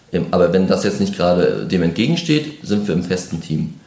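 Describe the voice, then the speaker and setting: A man talks at a moderate pace over noticeable background noise, with audible room echo. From northeastern Germany (Mecklenburg-Vorpommern). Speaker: football referee. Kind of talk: interview.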